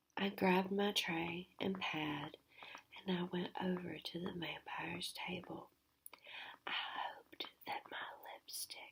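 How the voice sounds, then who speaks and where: The speaker, a woman, talks in a whisper. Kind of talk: whispered novel reading. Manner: whispered, soft-spoken.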